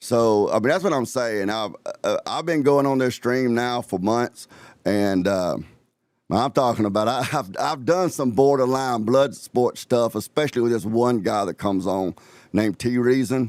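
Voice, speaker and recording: In an Alabama accent, a man speaks with ordinary pitch variation. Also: medium pitch for a man, moderate pace. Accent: Southern US (Alabama). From US South, Alabama. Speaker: live-stream host. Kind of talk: casual live-stream chat. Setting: live stream.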